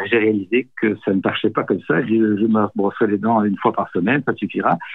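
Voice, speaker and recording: In an unremarkable speaking voice, this man talks with a fairly low pitch. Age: 60s. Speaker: nonviolent communication trainer. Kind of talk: interview.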